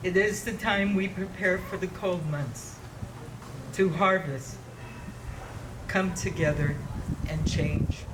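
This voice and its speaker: Amid noticeable background noise and audible room echo, a man with an American accent speaks very slowly at a high pitch, leaving long, frequent pauses. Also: ordinary pitch variation. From San Francisco, US West Coast. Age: 60s. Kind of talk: ceremonial speech.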